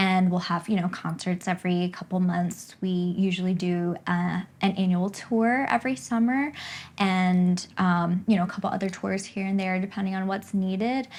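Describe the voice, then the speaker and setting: This woman speaks at a moderate pace with an American accent, her medium-pitched voice somewhat breathy and her intonation fairly even, in a very clean recording with a silent background. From US East Coast. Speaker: flutist and pianist. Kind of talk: casual interview.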